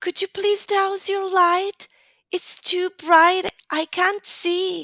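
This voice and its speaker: A woman's put-on character voice, squeaky and extremely high, in a flat monotone at a very slow pace, with a dry, close sound and no echo. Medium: read story. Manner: dramatic, whiny.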